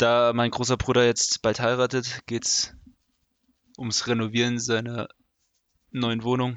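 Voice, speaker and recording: A man's medium-pitched, monotone, flat voice at a very slow pace, with long, frequent pauses. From Germany, Osthessen (Fulda). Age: 20s. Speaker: podcast host. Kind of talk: casual chat.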